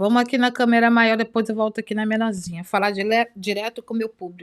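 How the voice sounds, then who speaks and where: A woman's fairly high, animated voice at a fairly quick pace. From Brazil. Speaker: youtuber. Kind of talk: reaction commentary. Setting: home recording with two cameras.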